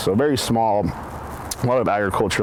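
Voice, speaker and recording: There is noticeable background noise as a man speaks. Audible room echo surrounds his voice. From eastern Oregon, US. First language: Spanish. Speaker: medical researcher. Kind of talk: personal interview narrative.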